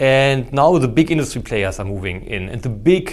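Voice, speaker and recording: With a German accent, a man speaks with ordinary pitch variation. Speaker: theoretical physics professor. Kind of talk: casual podcast interview. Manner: hesitant, with fillers and restarts.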